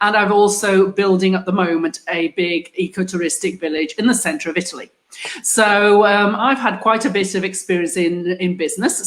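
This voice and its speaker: With an English accent, a woman at a medium pitch speaks at a moderate pace with hardly any pauses and ordinary pitch variation amid noticeable background noise. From England. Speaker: group host, business owner. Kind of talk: online group discussion. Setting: live video stream.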